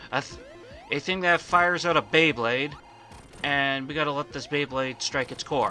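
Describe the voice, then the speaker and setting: Music plays in the background as a man speaks at a moderate pace. He leaves long, frequent pauses. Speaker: let's play gamer. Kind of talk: gameplay commentary. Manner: halting.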